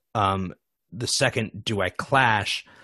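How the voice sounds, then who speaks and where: A man's fairly low voice, dry and close with no echo, over a quiet background. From US Midwest, Michigan. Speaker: improv teacher and performer. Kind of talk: podcast interview.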